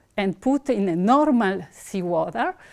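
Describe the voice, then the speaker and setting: A woman speaks in an Italian accent at a medium pitch. Her pace is fairly slow, and the background is quiet. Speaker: researcher; presenter. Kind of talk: conference talk. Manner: halting. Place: hall.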